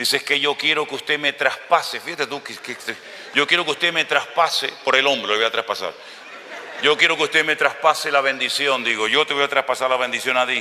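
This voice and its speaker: Over noticeable background noise, a man talks at a fairly quick pace. His pitch sits fairly high. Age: 60s. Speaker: pastor. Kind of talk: sermon. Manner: animated.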